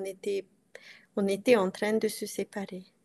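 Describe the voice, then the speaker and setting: A woman's monotone, flat intonation with a Hungarian accent. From Transylvania, Romania (Hungarian community). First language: Hungarian (speaking French). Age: 40s. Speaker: coaching client. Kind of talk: interview. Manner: halting. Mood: reflective, personal. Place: home room. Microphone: video call.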